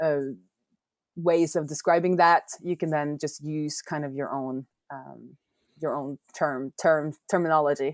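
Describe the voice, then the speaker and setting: A woman with a Norwegian accent speaks at a very deep, low pitch and a fairly slow pace, in a monotone, flat intonation with long, frequent pauses and big swings in loudness. The sound is dry and close with no echo, on a very clean recording with a silent background. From Norway. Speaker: software developer and indie app maker. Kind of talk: podcast interview.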